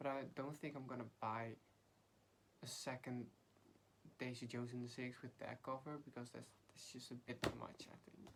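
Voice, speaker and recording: A woman with a Dutch accent speaks at a moderate pace in a very deep, low voice. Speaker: book vlogger. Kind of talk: casual chat.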